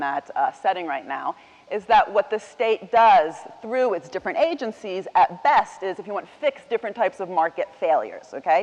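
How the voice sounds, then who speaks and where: A woman talks fairly quickly in an American accent with lively intonation. Noticeable background noise can be heard. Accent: sounds American. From Italian, raised partly in the US. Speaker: economics professor, keynote speaker. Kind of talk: keynote lecture. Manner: conversational, many fillers.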